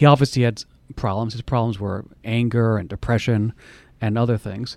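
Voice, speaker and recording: Speaking at a very fast pace, this man keeps his intonation fairly even. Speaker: radio host. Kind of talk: interview with his mother about her memoir.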